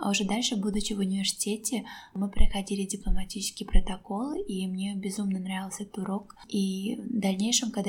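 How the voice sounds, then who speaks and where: The speaker delivers a monotone, flat line at a fairly quick pace. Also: woman. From Azerbaijan. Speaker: teacher and author. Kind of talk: casual interview conversation. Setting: public place.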